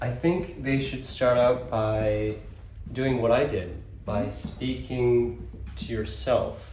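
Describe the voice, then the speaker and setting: A man speaking at a very slow pace over noticeable background noise. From Kyoto, Japan. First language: English and Japanese. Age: 20s. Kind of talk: interview answer. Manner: casual, relaxed.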